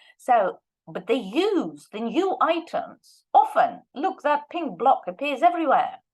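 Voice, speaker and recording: A woman's high-pitched, fairly slow voice with very wide pitch swings and big swings in loudness. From Russia. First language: Russian. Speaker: language teacher and researcher. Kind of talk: lecture.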